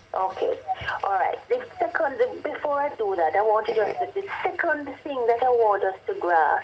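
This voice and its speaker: A woman with a high voice talks at a moderate pace, her pitch swinging very widely, over noticeable background noise. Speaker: government official explaining policy. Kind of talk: radio interview.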